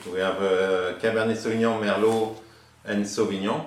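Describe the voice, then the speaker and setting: Through audible room echo and noticeable background noise, a man with a French accent talks at a moderate pace and fairly low pitch in monotone, flat intonation. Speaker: winemaker. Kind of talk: casual chat. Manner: halting.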